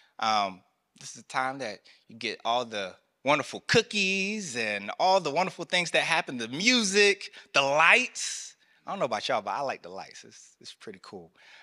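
Speaking at a moderate pace with a Southern US accent, a man with a fairly high, bright, sharp voice sounds animated, his pitch swinging very widely and his loudness rising and falling sharply, in a very clean recording with a silent background and a dry, close sound with no echo. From US South, rural North Carolina. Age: 30s. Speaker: military chaplain. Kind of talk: sermon. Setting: church.

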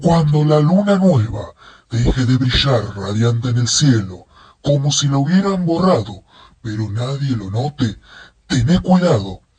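A man puts on a character voice at medium pitch. He talks at a moderate pace. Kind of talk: horror narration. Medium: read story. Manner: ominous, warning.

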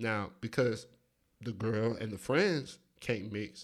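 A man's medium-pitched voice with an American accent, recorded very cleanly against a silent background. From US South, Atlanta, Georgia. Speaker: podcast co-host. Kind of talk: casual chat.

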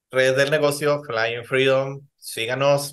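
With a Mexican accent, a man speaks at a fairly high pitch. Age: 30s. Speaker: podcast host. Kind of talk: casual chat.

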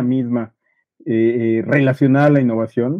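A man talks at a fairly slow pace. He speaks with a Mexican accent. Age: 50s. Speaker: podcast co-host. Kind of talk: casual chat. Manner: stammering repetitions.

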